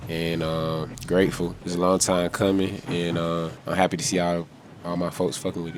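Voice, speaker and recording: A soft-spoken man with an Atlanta accent, very deep and low in pitch, fairly even in intonation, at a moderate pace over noticeable background noise. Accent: Southern US, Atlanta. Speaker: rapper. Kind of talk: interview answer.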